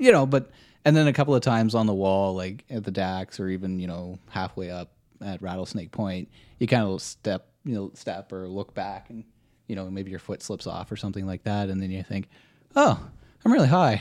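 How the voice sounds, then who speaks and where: A man with an unremarkable speaking voice, fairly low in pitch, with ordinary pitch variation at a moderate pace. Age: 30s. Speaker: search and rescue volunteer. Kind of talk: casual chat. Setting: kitchen table.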